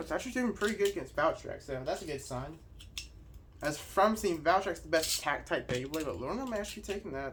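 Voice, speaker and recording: Over noticeable background noise, a man speaks at a very fast pace in an animated tone. His pitch is high, and his intonation is lively. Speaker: toy reviewer. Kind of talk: unboxing and battle commentary.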